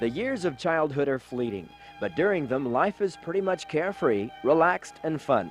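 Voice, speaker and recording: Music plays in the background as a man speaks at a moderate pace, his fairly high pitch swinging very widely. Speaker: TV magazine reporter. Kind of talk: TV feature narration.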